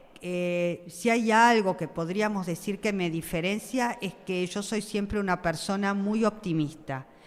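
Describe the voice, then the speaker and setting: At a fairly slow pace with hardly any pauses, a woman speaks at a medium pitch with ordinary pitch variation. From Argentina, Buenos Aires (Flores). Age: 60s. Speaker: school principal. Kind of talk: interview. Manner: hesitant, many fillers.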